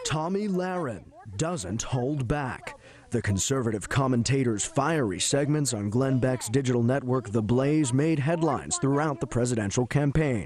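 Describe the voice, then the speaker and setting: The speaker has an American accent and lively intonation at a moderate pace. Loudness stays very even against noticeable background noise. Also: man, medium pitch for a man. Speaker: multimedia journalist, TV news reporter. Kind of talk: TV news reporter stand-up and package narration. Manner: measured news package narration.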